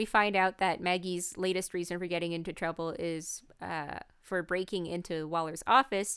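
The recording is very clean, with a silent background. A woman with a Canadian accent talks at a moderate pace and medium pitch in an unremarkable speaking voice. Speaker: podcast co-host. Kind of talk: casual chat.

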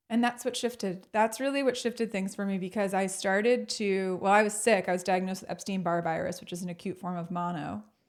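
Talking very fast with hardly any pauses, a woman at medium pitch shows ordinary pitch variation. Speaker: motivational speaker. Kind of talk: casual interview. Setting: video call. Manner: energetic; confident.

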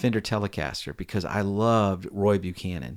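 A man's fairly low, ordinary speaking voice with an American accent, at a moderate pace with ordinary pitch variation, on a very clean recording with a silent background. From US, Virginia. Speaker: session guitarist. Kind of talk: casual interview chat.

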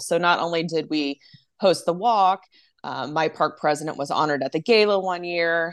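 Against a quiet background, a woman with a plain, everyday voice and an American accent speaks at a moderate pace and fairly low pitch with ordinary pitch variation. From Texas (Arlington, Dallas-Fort Worth area). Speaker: nonprofit development director. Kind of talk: interview.

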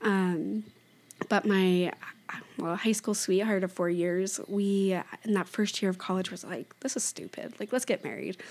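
Here a woman has a plain, everyday voice with an American accent, a medium pitch and fairly even intonation, talking at a moderate pace in a very clean recording with a silent background. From Oregon, US. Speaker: coffee shop owner. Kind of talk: casual chat.

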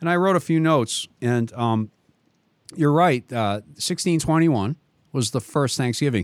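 On a very clean recording with a silent background and a dry, close sound with no echo, a man with a Boston accent speaks at a moderate pace in a fairly high pitch, his intonation lively and his loudness very even. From Boston area, Massachusetts. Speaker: radio host. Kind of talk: casual chat, radio interview. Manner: warm, enthusiastic.

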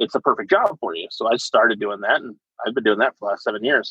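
Talking at a very fast pace, a man speaks in an American accent. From US Pacific Northwest (eastern Washington). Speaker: army veteran, truck driver. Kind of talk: casual interview.

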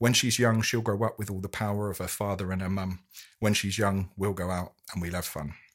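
On a very clean recording with a silent background, a man in an unremarkable speaking voice talks at a fairly quick pace with fairly even intonation. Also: fairly low pitch for a man. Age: 30s. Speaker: amateur poet. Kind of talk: poetry reading.

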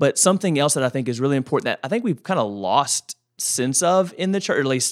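In a very clean recording with a silent background and a dry, close sound with no echo, a man with an unremarkable speaking voice talks at a moderate pace, his fairly high pitch carrying lively intonation. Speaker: pastor and podcast co-host. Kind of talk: casual podcast chat on faith. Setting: studio.

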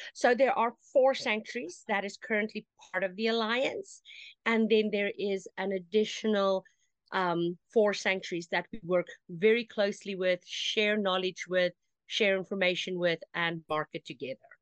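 A woman speaks at medium pitch and a moderate pace, in an unremarkable speaking voice. The sound is dry and close with no echo. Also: ordinary pitch variation. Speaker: social media manager for animal sanctuaries. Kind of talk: casual interview.

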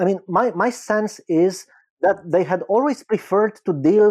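A man speaks with a Romanian accent and a high pitch. His intonation is lively and his pace moderate. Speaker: film critic and academic. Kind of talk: interview.

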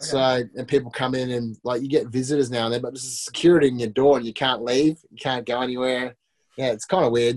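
Very fast speech from a man with an Australian accent, medium pitch and fairly even intonation. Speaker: reality TV contestant. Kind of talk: casual chat. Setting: video call.

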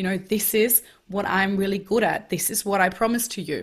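This woman's voice is somewhat breathy, with a German accent. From Germany. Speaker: life coach. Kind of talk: interview. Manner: energetic.

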